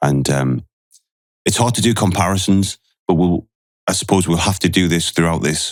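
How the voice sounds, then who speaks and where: Vocal fry colors this voice in a Geordie accent, its loudness very even. It moves at a moderate pace with long, frequent pauses. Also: man, very deep, low pitch for a man, ordinary pitch variation. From northeast England, Newcastle. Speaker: retired special forces soldier. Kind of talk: podcast interview.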